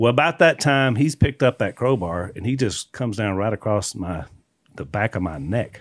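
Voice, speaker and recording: A man's medium-pitched voice with a Southern US accent, moderate pace and very wide pitch swings, in a very clean recording with a silent background and a dry, close sound with no echo. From Louisiana. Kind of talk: casual chat with testimony.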